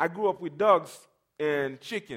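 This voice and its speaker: A man with a high pitch and a non-native accent, ordinary pitch variation, and a fairly slow pace. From Caribbean. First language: not English. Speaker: preacher. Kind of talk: sermon. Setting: church.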